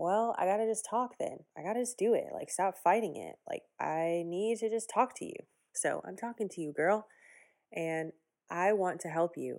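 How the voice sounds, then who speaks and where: In an ordinary speaking voice, a woman with an American accent talks at a moderate pace and medium pitch, with ordinary pitch variation and big swings in loudness, in a very clean recording with a silent background. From US Midwest, Evanston, Illinois near Chicago. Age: 30s. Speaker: podcast host and business coach. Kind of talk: solo casual monologue.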